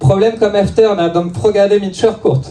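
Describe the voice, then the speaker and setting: Audible room echo surrounds a man's dark, mellow voice. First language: French (speaking Swedish). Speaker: stand-up comedian. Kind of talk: stand-up. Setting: comedy club stage with audience. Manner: halting, many fillers.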